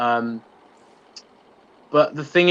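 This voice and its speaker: The speaker is a man. He has a British accent. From UK. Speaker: YouTube channel host, TV show fan commentator. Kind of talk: live-stream Q&A chat.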